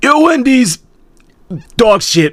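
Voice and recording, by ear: A raspy, put-on character voice, fairly high in pitch, with very wide pitch swings.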